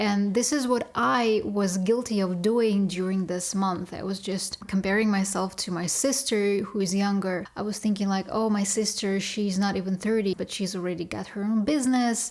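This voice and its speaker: The intonation is fairly even, with hardly any pauses at a moderate pace. Noticeable background noise runs underneath. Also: woman, medium pitch for a woman. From Russia. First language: Russian. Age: 30s. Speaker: vlogger. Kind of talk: personal vlog confession.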